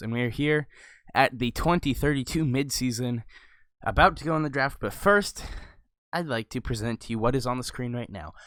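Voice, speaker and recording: Quiet and at a fairly quick pace, a man speaks at medium pitch with ordinary pitch variation in a very clean recording with a silent background. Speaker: gaming video creator. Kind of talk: casual gameplay commentary.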